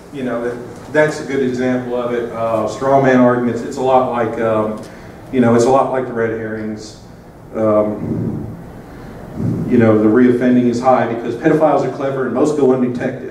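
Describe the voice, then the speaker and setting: A man with a Southern US accent speaks at a moderate pace and medium pitch, his intonation monotone and flat. Audible room echo and noticeable background noise surround him. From US South. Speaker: conference speaker. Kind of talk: conference talk. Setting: conference stage with audience.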